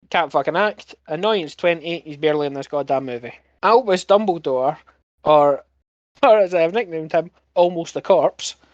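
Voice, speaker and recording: In a Scottish accent, the speaker talks at a moderate pace. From Scotland. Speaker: podcast host. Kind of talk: casual chat. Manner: animated.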